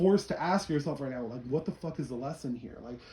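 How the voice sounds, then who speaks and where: A man talks at a very fast pace with fairly high pitch. His pitch varies an ordinary amount. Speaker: tarot reader. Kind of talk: tarot reading for a client. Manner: animated.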